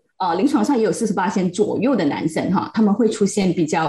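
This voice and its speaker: A woman speaks at a moderate pace and medium pitch, her dark, mellow tone somewhat breathy and her intonation lively. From Malaysia, Pahang. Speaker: psychological counselor. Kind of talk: casual chat.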